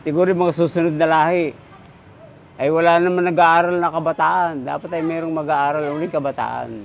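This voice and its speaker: Noticeable background noise sits behind a man's voice. He talks at a fairly quick pace with a fairly high pitch. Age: 60s. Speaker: woodcarver. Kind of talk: interview. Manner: halting.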